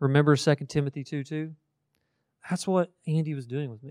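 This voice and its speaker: Recorded very cleanly against a silent background, a man with a Kentucky accent talks in an animated tone at a fairly quick pace. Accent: Kentucky Southern US. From central Kentucky, Marion County. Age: 30s. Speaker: college ministry staff speaker. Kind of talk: sermon-style talk to students. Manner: animated, conversational.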